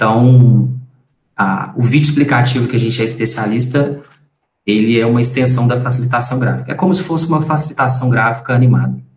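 Audible room echo surrounds a man speaking at a fairly quick pace with a medium pitch. His voice is somewhat breathy, and his intonation stays fairly even. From Brazil, Belo Horizonte (Minas Gerais). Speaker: graphic designer and company partner. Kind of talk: casual interview.

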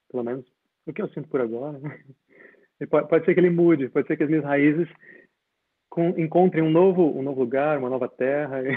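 A fairly high-pitched man at a very fast pace, fairly even in intonation, with long, frequent pauses. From Brazil, Espírito Santo (Linhares). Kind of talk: casual interview conversation.

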